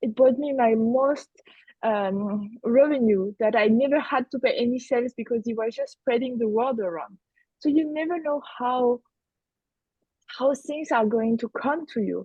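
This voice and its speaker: A woman's high voice in a French accent, moderate in pace, with ordinary pitch variation. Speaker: business coach. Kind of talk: roundtable discussion.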